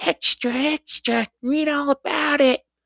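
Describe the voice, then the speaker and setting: A put-on character voice, high in pitch, speaks at a fairly slow pace. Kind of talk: old-timey, shouting.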